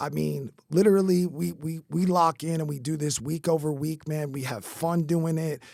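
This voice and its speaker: A man with an American accent, fairly high in pitch, animated in tone, at a moderate pace with hardly any pauses, on a very clean recording with a silent background. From New York. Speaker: podcast host and roofing company owner. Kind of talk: casual interview chat.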